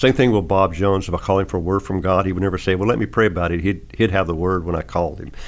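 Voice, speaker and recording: With an Arkansas accent, a man talks very fast with hardly any pauses. His voice is very deep and low, with vocal fry. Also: ordinary pitch variation. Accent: Southern US, Arkansas. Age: 60s. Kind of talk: interview conversation about faith. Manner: folksy, humorous.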